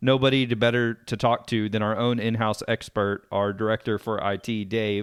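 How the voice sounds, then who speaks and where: In a Texan accent, a man speaks at a medium pitch with fairly even intonation. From East Texas (Sulphur Springs). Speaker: podcast host. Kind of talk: podcast interview.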